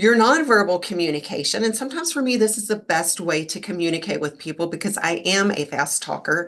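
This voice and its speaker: Amid noticeable background noise, a woman at medium pitch talks at a fairly quick pace with hardly any pauses, her tone animated and her intonation lively. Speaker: leadership coach. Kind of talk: live webinar talk.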